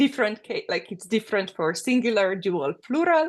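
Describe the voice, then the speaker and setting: A woman with a Slovenian accent speaks at a fairly high pitch with very wide pitch swings. The background is quiet. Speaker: architect. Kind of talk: interview. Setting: podcast recording. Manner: hesitant, with many fillers.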